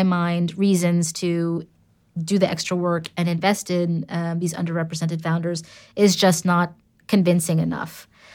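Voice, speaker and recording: With a New York accent, a woman talks at a fairly slow pace in a fairly low pitch and monotone, flat intonation, captured on a very clean recording with a silent background. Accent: New York American. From US, New York City. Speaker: entrepreneur and angel investor. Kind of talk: interview conversation.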